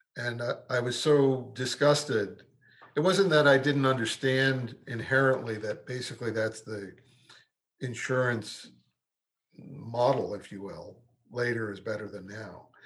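With an American accent, a man speaks at a fairly slow pace and medium pitch, somewhat breathy, with ordinary pitch variation and big swings in loudness. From New York, Brooklyn. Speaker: medical malpractice trial lawyer. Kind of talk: interview. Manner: halting, repeats words.

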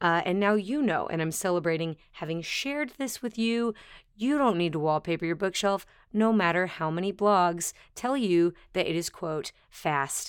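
On a very clean recording with a silent background, a woman speaks at a moderate pace and medium pitch with an animated tone and lively intonation. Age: 30s. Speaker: podcast host and dancer. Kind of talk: casual interview chat.

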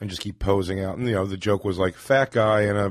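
With an American accent, a man talks at a fairly quick pace in a fairly low pitch. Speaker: stand-up comedian. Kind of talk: casual interview.

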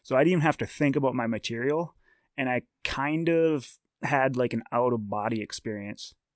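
A man with an unremarkable speaking voice talks at a moderate pace, medium in pitch with ordinary pitch variation. The sound is dry and close with no echo, and the background is quiet. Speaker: stand-up comedian. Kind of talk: casual chat.

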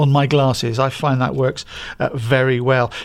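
This man talks at a moderate pace. He has a British accent. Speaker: co-host. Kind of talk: podcast chat and news reading.

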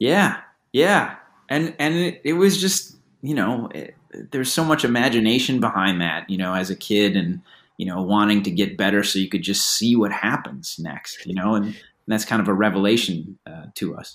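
A man speaks in a normal speaking voice with an American accent, fairly low in pitch, at a moderate pace with lively intonation. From US Midwest, Batavia, Illinois (Chicago suburb). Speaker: author and screenwriter. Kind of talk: interview.

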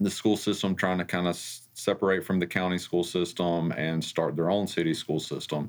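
With an Alabama accent, a man speaks in a very deep, low monotone with flat intonation on a very clean recording with a silent background. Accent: US Southern (Alabama). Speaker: school district finance officer. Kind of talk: interview. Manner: halting, many fillers.

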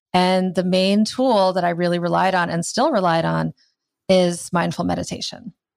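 An ordinary speaking voice from a woman, fairly low in pitch, at a moderate pace with fairly even intonation. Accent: American. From US Midwest (Iowa). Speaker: writer, yoga and meditation teacher. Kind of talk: interview.

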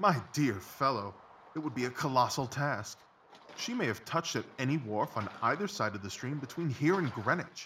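A man's confident, animated tone at a medium pitch and moderate pace. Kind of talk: audio drama, full-cast dramatised reading. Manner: brisk, confident, precise and articulate, with clipped, animated deductions.

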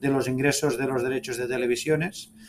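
A man talks at a fairly quick pace with a monotone, flat intonation. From Spain, Catalonia (Sabadell). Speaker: football club executive. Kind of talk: interview.

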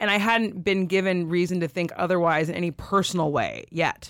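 A woman speaks with a West Coast US accent. Her pitch is fairly low, and her pace is fairly quick. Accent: General American (West Coast). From California. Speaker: writer and podcast co-host. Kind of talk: casual interview.

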